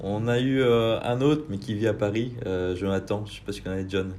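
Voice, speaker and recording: A man talks at a moderate pace in a fairly low voice with a dark, mellow tone. Audible room echo surrounds him. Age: 20s. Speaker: podcast host. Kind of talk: casual interview. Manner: casual, hesitant with many fillers.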